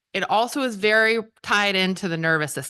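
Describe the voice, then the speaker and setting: A woman speaks loudly with a bright, sharp tone. Her pitch sits in the medium range, and her intonation is lively. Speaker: pelvic floor physical therapist. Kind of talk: health talk to audience. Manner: fast.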